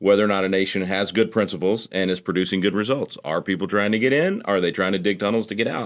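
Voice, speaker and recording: Speaking at a very fast pace with hardly any pauses, a man with an American accent uses a fairly low pitch. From Texas. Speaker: former state legislator and civics educator. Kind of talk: casual chat. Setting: podcast interview. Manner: animated.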